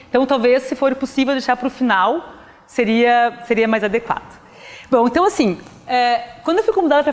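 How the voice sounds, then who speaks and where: Noticeable background noise beneath a high-pitched female voice. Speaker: physics professor. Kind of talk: lecture. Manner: fast.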